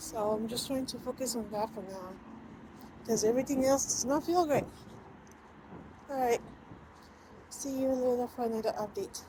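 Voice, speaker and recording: Over noticeable background noise, a woman with a high voice speaks at a moderate pace. She leaves long, frequent pauses, and her pitch varies in an ordinary way. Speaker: weight loss vlogger. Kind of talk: casual vlog. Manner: whispering.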